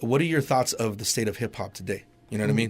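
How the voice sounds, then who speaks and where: This man speaks at a medium pitch, his intonation lively. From US, Mexican-American. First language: Spanish. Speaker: radio host. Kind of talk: interview. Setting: studio.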